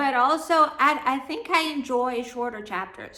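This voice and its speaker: With audible room echo around her, a woman speaks with a non-native accent. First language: not English. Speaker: book vlogger. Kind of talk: casual book review vlog.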